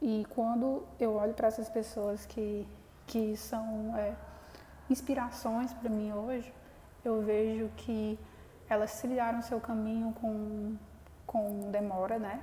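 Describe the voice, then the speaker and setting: Monotone, flat intonation from a woman at a fairly high pitch, very slow with long, frequent pauses, over noticeable background noise. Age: 20s. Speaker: podcast host, young entrepreneur. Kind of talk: solo podcast monologue. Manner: hesitant, many fillers.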